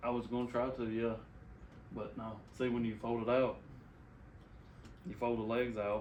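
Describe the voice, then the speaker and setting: Soft-spoken, monotone, flat delivery at a moderate pace, with long, frequent pauses, audible room echo and noticeable background noise. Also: man, medium pitch for a man. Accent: Southern US. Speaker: podcast host. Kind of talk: casual chat.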